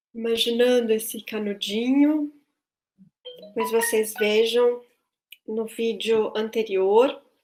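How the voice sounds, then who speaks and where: A woman talks at a very slow pace, leaving long, frequent pauses, her intonation monotone and flat. Music plays in the background. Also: fairly high pitch for a woman. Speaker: voice and choir teacher. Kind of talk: online tutorial. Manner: halting.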